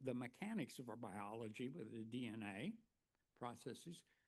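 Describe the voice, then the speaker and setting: A man with an Oklahoma accent and lively intonation. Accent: Oklahoma twang. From US, northeastern Oklahoma. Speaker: keynote speaker, former college educator. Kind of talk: plenary lecture with storytelling. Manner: conversational, many fillers.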